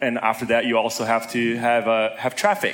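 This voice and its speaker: This man has a normal speaking voice, medium in pitch, and keeps a moderate pace. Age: 20s. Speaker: entrepreneur and blogger. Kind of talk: interview on conference stage.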